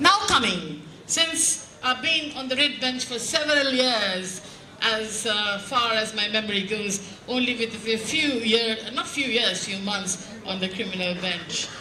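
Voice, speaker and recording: Speaking with a Bengali accent, a woman uses a fairly high pitch and lively intonation at a fairly slow pace. Audible room echo and noticeable background noise fill the recording. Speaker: judge. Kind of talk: speech. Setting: stage with audience.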